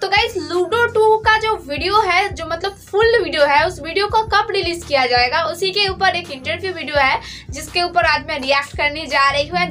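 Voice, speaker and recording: Over faint background music, a woman speaks in a raised, projected voice at a fairly slow pace. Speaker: YouTuber. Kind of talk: casual vlog chat. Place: home room. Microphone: earbuds.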